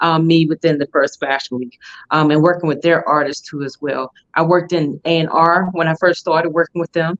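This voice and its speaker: A woman speaks with a fairly low pitch at a fairly quick pace. Her intonation is monotone and flat. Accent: Southern US. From Alabama, US South. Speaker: fashion week founder. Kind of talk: interview. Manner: many fillers.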